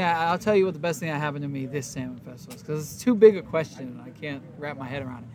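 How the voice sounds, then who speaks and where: Relaxed in tone, a man speaks with very wide pitch swings. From Warsaw, Poland. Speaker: touring band musician. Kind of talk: backstage interview chat, casual. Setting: backstage. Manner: relaxed, laid-back, laughing.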